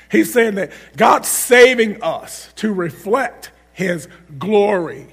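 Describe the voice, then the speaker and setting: Over noticeable background noise, a man speaks in an animated, high-pitched voice with lively intonation. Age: 40s. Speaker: guest preacher. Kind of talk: sermon. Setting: church.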